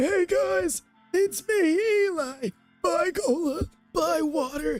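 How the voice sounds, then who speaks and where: Over music in the background, a high, squeaky put-on character voice moves at a very slow pace with very wide pitch swings. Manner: goofy, cheerful.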